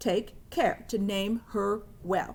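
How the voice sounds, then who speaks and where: Using a put-on character voice, a woman talks at a medium pitch. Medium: read story. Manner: hearty, declaring.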